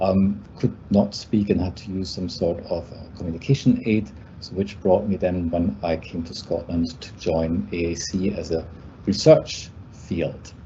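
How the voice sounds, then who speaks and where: A man with a German accent speaks fairly slowly in a very deep, low pitch, with vocal fry and big swings in loudness. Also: ordinary pitch variation. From Germany. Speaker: university lecturer. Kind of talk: presentation. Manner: halting.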